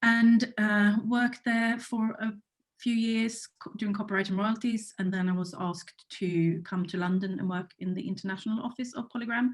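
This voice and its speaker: A woman at a moderate pace, somewhat breathy, with a fairly high pitch and fairly even intonation. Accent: Swedish. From Sweden. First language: Swedish. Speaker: music rights executive. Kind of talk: panel discussion.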